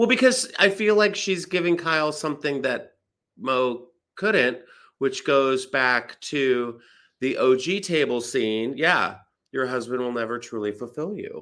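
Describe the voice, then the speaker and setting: A man's fairly high, bright and sharp voice, with lively intonation and a fairly slow pace, on a very clean recording with a silent background. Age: 40s. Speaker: comedian. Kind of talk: casual chat.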